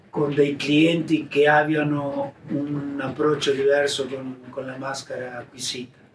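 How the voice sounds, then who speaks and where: A man's fairly high-pitched, monotone, flat voice over noticeable background noise. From Argentina. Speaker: mask maker. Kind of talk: interview answer.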